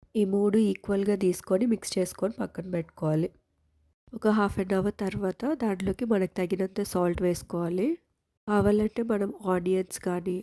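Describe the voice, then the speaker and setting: Recorded in a dry, close sound with no echo, a woman speaks at medium pitch in a dark, mellow tone with fairly even intonation. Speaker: cooking vlogger. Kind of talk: cooking tutorial.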